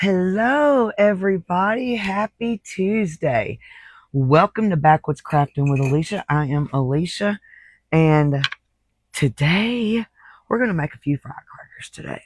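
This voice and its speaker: A woman with a Southern US accent at a medium pitch, fairly slow, with very wide pitch swings, dry and close with no echo, in a very clean recording with a silent background. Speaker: crafting channel host. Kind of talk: live stream craft tutorial. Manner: casual, chatty.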